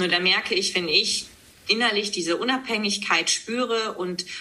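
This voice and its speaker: Against noticeable background noise, a woman speaks at a fairly slow pace with lively intonation. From East Frisia, northern Germany. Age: 30s. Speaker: news presenter and author. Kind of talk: podcast interview.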